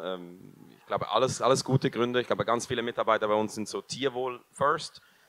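Here a man talks with a Swiss German accent. His pace is moderate. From Switzerland. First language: Swiss German (speaking German). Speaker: food company co-founder; company founder on panel. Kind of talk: panel discussion. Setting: stage with audience. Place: hall. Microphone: handheld.

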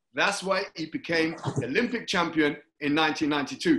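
A man with a London accent speaks in a high pitch with a bright, sharp tone. His intonation is lively, with light background noise. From London, Hackney. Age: 50s. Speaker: talk show host, former Olympic athlete. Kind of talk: interview. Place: home room. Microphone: video call.

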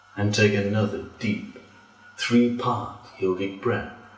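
Calm and monotone, a man speaks very slowly with flat intonation at a fairly low pitch. Music plays behind him, and the room echo is audible. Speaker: yoga teacher. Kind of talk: guided relaxation. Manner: slow, calm. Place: home room.

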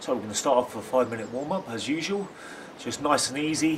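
A man talks amid noticeable background noise. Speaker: football fitness coach. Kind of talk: tutorial. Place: street. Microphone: phone near.

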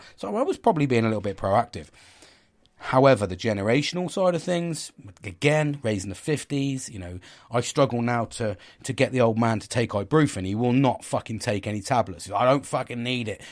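In a very clean recording with a silent background, a man talks at a fairly quick pace and medium pitch with lively intonation and an ordinary speaking voice. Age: 40s. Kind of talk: casual monologue. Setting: at home.

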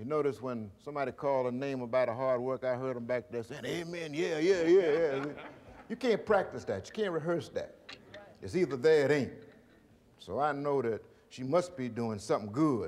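Lively intonation at a moderate pace. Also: man. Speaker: keynote speaker. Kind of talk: banquet speech. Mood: warm, appreciative, humorous. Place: hall. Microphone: podium.

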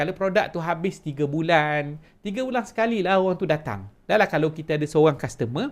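A man speaks with a Malaysian accent and lively intonation at a moderate pace. The recording is very clean, with a silent background. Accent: Malaysian Malay. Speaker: online business coach. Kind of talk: sales pitch. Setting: home office.

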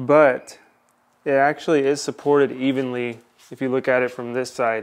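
A man speaks with fairly even intonation. His pace is moderate. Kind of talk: tutorial. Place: garage.

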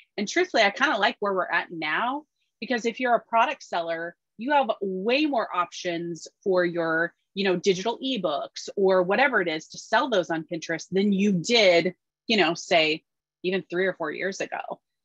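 Lively intonation carries the speech at a moderate pace against a quiet background. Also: woman. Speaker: Pinterest marketing expert, business owner. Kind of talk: webinar interview. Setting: video call. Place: home room. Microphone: webcam.

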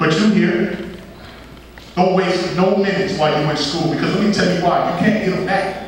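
A man speaks with an American accent. There is audible room echo and noticeable background noise. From Columbus, Ohio. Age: 30s. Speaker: motivational speaker. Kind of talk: motivational speech to high school students. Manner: animated.

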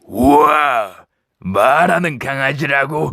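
Very slowly, a man puts on a character voice pitched fairly high.

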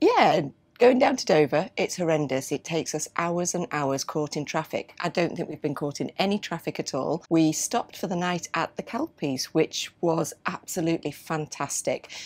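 The speech runs at a moderate pace with hardly any pauses. Its pitch varies in an ordinary way. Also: woman. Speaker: travel vlogger. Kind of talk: casual vlog chat. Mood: relaxed and cheerful. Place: boat.

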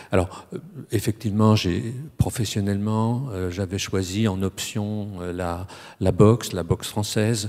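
A man's fairly low, dark and mellow voice at a fairly slow pace, with fairly even intonation and a quiet background. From France, Strasbourg (Alsace); France. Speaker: academic speaker on boxing; speaker. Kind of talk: panel discussion. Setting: stage with audience. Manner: halting. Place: hall. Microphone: handheld.

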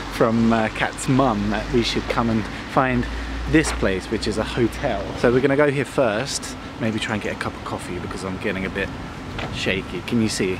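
A man's voice, dry with no echo, amid loud background noise. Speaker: vlogger. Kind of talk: casual vlog chat. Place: open country. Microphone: phone near.

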